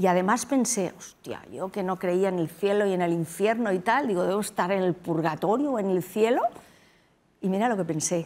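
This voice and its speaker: Ordinary pitch variation colors a woman's speech at a moderate pace. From Spain, Madrid. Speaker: doctor, tsunami survivor; interview guest. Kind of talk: interview. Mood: serious, recalling traumatic event. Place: studio. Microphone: lapel.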